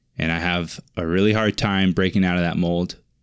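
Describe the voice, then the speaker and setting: A man with a Pacific Northwest accent speaks at a moderate pace. His pitch is very deep and low, over a quiet background. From eastern Washington State, US. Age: 20s. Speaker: podcast host, web developer. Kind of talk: solo monologue podcast. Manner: casual, rambling with frequent fillers.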